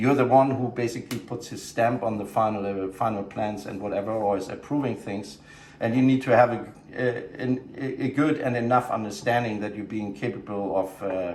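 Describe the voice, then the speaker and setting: Fairly quick speech from a man, with audible room echo and noticeable background noise around it. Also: medium pitch for a man, ordinary pitch variation. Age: 50s. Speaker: show production director. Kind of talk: casual interview. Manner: halting, many fillers and repeats.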